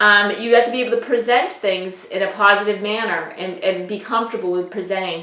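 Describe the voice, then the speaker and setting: A woman at a medium pitch with fairly even intonation, a fairly quick pace, and hardly any pauses, amid audible room echo and noticeable background noise. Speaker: real estate trainer. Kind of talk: lecture.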